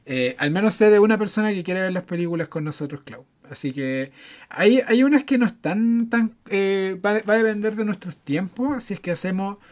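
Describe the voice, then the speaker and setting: With a Chilean accent, a man speaks at a moderate pace in a high pitch, his intonation lively. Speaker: film podcast co-host. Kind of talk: casual chat.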